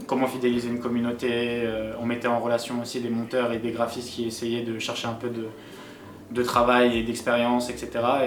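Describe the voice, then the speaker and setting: A man's medium-pitched voice, with noticeable background noise and audible room echo. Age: 20s. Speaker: esports team founder and director. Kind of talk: documentary interview. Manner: hesitant with many fillers.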